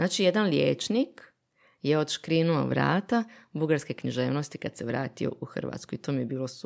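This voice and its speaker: A woman talks at a moderate pace with lively intonation. Her voice has vocal fry. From Bosnia. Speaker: literary translator. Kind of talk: casual chat.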